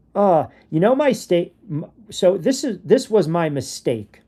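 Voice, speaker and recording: Very cleanly recorded against a silent background, a dark, mellow voice in a New York accent moves at a fairly slow pace through very wide pitch swings. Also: man. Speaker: sports podcast host. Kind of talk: casual podcast commentary. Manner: animated.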